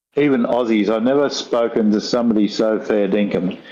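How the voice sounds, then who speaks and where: In a rural Australian accent, a man talks at a moderate pace with a fairly low pitch and fairly even intonation. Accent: broad rural Australian. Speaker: guest on talk show. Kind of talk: casual chat.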